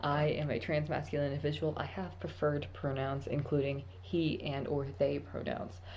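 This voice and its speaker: Vocal fry runs through this voice at a moderate pace. Audible echo from the room surrounds it. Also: woman. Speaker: vlogger, army recruit. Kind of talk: casual vlog monologue. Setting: at work.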